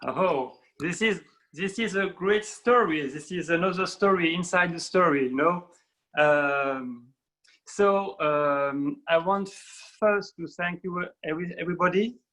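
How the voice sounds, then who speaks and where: Speaking fairly slowly with a French accent, a man uses a high, bright, sharp tone with ordinary pitch variation. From France. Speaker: documentary filmmaker. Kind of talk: panel talk in an online webinar. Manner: halting, many fillers.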